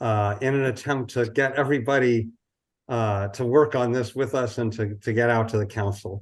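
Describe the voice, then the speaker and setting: Over a quiet background, a man with a plain, everyday voice speaks at a moderate pace in a medium pitch with fairly even intonation. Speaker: housing advocate. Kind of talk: presentation.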